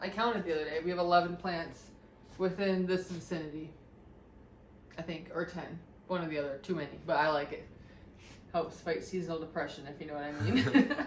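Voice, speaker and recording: With a fairly low pitch and ordinary pitch variation, a woman talks at a fairly quick pace. Long, frequent pauses break it up, and room echo is audible. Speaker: home renovation vlogger. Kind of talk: casual chat.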